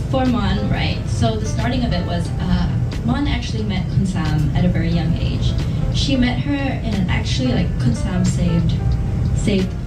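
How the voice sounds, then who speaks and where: Music plays in the background as a woman talks. Her pace is moderate and her pitch varies in an ordinary way. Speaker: actress at press event. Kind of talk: interview answer. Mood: relaxed, laughing at times. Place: hall.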